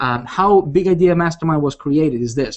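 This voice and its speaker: A man with a fairly high pitch, an animated tone and a very fast pace, in a non-native accent. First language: not English. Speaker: online marketing coach. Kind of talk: live webinar presentation. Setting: live video hangout. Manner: animated, repetitive with many fillers.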